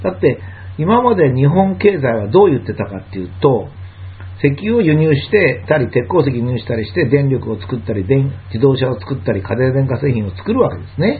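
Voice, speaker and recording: A man with a medium pitch talks at a fairly quick pace, his pitch swinging very widely. Noticeable background noise and audible room echo come through. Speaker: lecturer and commentator. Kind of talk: monologue lecture.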